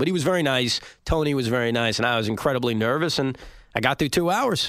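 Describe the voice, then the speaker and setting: This man rushes along at a very fast pace with a New York accent. His pitch makes very wide swings. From Long Island, New York. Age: 30s. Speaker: sports radio host. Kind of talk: interview.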